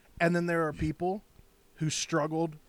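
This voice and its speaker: A man at a moderate pace with a fairly high pitch. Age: 30s. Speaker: podcast co-host. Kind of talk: casual chat. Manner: animated.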